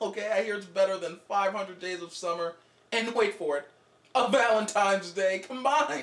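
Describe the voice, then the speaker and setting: With some room echo audible, a man talks at an unhurried, moderate speed. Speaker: skit actor on a phone call. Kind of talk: comedic acted phone conversation. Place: home room.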